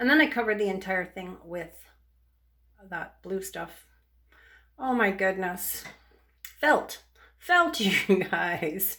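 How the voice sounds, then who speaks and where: Putting on a character voice, a woman mumbles at a fairly slow pace in a medium pitch, with lively intonation and long, frequent pauses. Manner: mumbly, thick speech.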